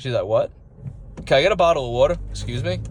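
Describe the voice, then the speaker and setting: A man is speaking here. He has a New York accent. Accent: mild New York. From Long Island, New York. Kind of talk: casual talk to camera.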